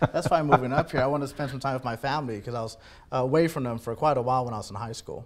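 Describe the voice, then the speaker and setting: At a very fast pace, a man talks at a medium pitch with fairly even intonation. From US, Texas and military moves; Panamanian and Puerto Rican parents. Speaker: poet. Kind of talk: interview.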